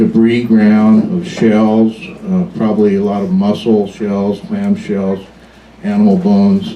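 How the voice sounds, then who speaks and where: A man in a Pacific Northwest accent, moderate in pace, with very wide pitch swings and noticeable background noise. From US Pacific Northwest, Washington. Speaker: museum docent. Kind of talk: public talk to a live audience. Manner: casual, with fillers.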